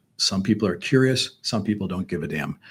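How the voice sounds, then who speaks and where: This man's voice sits fairly low in pitch. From Chicago, US Midwest. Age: 60s. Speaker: businessman. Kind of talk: interview conversation. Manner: halting, many repeated words.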